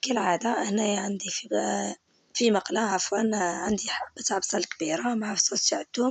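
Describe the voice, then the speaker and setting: Ordinary pitch variation comes through in this voice with an Algerian accent. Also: woman, medium pitch for a woman, moderate pace, hardly any pauses. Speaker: cooking channel host. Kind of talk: cooking tutorial. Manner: halting, with filler words.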